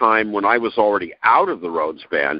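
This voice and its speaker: A man talks with vocal fry. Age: 60s. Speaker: rock musician. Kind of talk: interview. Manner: halting.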